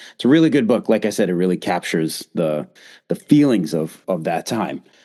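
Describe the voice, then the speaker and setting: A man with a Boston accent at a moderate pace, his pitch swinging very widely, against a quiet background. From Boston, US. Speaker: podcast host. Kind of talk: podcast interview.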